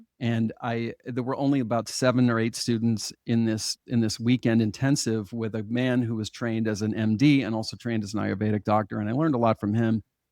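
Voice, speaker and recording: Dark and mellow in tone, a man of medium pitch speaks at a fairly quick pace with hardly any pauses and monotone, flat intonation, in a dry, close sound with no echo on a very clean recording with a silent background. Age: 60s. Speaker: hypnotherapist. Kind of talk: interview.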